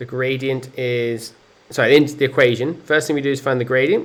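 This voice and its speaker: A man of medium pitch speaks at a moderate pace in an unremarkable speaking voice. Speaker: maths teacher. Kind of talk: tutorial.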